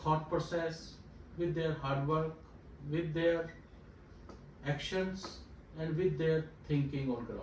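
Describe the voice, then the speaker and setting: A man's fairly high, monotone and flat delivery, with long, frequent pauses and noticeable background noise. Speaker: talk show host. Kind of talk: talk show interview questions.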